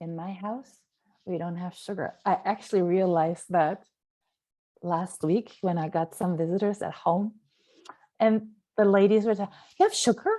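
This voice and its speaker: In a German accent, a woman talks at a fairly slow pace with an animated tone against a quiet background. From Germany. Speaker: nutrition coach. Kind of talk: live stream talk.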